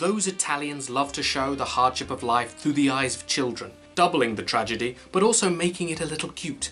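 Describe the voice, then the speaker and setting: Faint music sits in the background. A man talks at a moderate pace. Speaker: film reviewer. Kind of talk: commentary. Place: home room.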